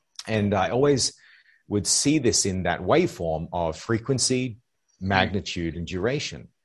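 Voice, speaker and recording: In an ordinary speaking voice, a man talks at a fairly low pitch and moderate pace against a quiet background. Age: 40s. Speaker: life coach. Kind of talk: casual chat.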